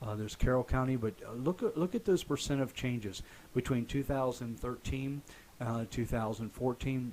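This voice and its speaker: Here is an unremarkable speaking voice, a man at medium pitch. His pace is fairly quick. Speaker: real estate agent and radio show host. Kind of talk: online radio show host talk. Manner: conversational, upbeat.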